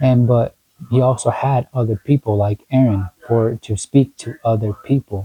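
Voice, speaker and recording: Fairly even intonation, somewhat breathy. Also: man. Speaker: self-help vlogger. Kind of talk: motivational monologue. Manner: halting, many fillers; casual.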